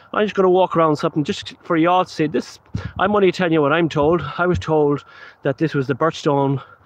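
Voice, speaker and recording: With a western Irish accent, a man speaks at a very fast pace and a fairly high pitch, keeping very even loudness and ordinary pitch variation. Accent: Irish (west of Ireland). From Ireland, Galway. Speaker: paranormal investigator. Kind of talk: live stream commentary. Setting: outdoors at night. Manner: casual, rambling.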